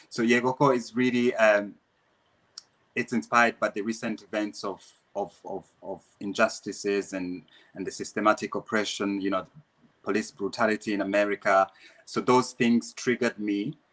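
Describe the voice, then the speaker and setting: Speaking with a Rwandan accent, a man has a fairly low pitch and fairly even intonation at a moderate pace. The sound is dry and close, with no echo. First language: Kinyarwanda. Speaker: dancer and dance teacher. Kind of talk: interview. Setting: live online Q&A. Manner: halting, many repetitions.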